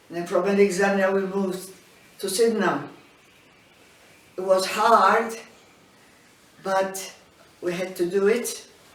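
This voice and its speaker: A woman's medium-pitched, monotone voice with flat intonation, at a fairly slow pace with long, frequent pauses, amid audible room echo and noticeable background noise. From Malta. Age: 80s+. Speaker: elderly migrant interviewee. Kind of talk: life story interview. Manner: halting.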